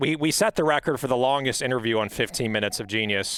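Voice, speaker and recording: A man's lively intonation comes across on a very clean recording with a silent background. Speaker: podcast interview host. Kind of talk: rapid-fire interview questions. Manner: fast.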